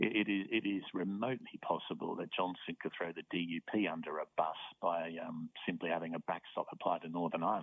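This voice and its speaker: With an Australian accent, a man speaks at a very deep, low pitch. His pace is fairly quick, with hardly any pauses and fairly even intonation. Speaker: professor. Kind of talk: interview. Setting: phone call.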